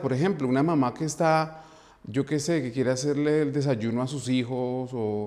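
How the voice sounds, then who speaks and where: A man with a Bogotá accent, fairly high pitch, a fairly slow pace and ordinary pitch variation. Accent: Bogotá Colombian Spanish. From Colombia, Bogotá. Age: 40s. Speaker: dance teacher. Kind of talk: interview. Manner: halting, repeats words.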